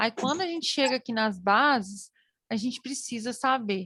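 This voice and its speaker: A bright, sharp tone at a moderate pace, with ordinary pitch variation and a dry, close sound with no echo. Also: woman. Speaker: teacher. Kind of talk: online lecture.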